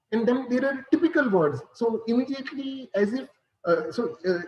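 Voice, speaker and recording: This speaker has lively intonation and a Punjabi accent. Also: man. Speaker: computer science professor. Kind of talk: lecture. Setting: video call. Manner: halting, many fillers.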